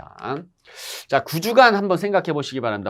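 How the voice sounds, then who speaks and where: Very fast speech from a man on a very clean recording with a silent background. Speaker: exam-prep instructor. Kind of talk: lecture. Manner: conversational.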